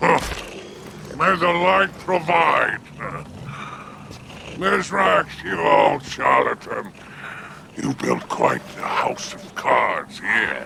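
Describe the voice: Putting on a character voice, a man speaks very slowly at a medium pitch with big pitch swings, a bright, sharp tone, vocal fry and long, frequent pauses, over faint background noise.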